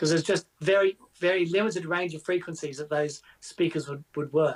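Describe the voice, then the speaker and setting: A man with an Australian accent speaks at a fairly quick pace in a high voice, his intonation fairly even, in a dry, close sound with no echo. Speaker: guitar show co-host. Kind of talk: live stream casual chat.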